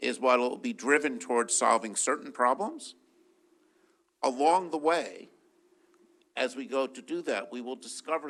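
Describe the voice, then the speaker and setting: Speaking at a moderate pace with long, frequent pauses, a man with a fairly high voice uses lively intonation and big swings in loudness. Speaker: physicist and research funder. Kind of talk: panel discussion.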